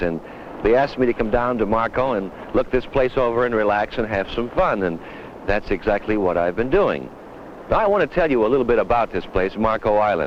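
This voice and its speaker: The speech moves at a fairly quick pace with lively intonation and very even loudness. Noticeable background noise runs underneath. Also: man, medium pitch for a man. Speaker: TV host. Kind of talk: promotional film narration. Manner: casual, chatty.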